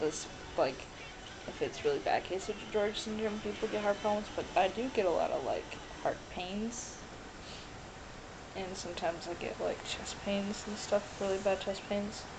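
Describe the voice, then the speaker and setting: Over noticeable background noise, a woman of medium pitch speaks at a moderate pace with ordinary pitch variation and long, frequent pauses. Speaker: vlogger. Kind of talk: personal video diary. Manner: halting, many fillers.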